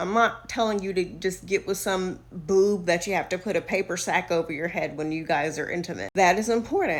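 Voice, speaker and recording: A woman with a Southern US accent talks at a fairly quick pace. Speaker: social media influencer. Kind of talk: casual advice monologue. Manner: animated.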